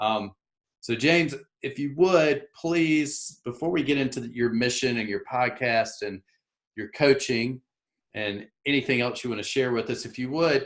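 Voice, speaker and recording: Ordinary pitch variation from a man with a Southern US accent. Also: medium pitch for a man. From US South, South Carolina. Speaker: podcast host. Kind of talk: casual interview. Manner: slow.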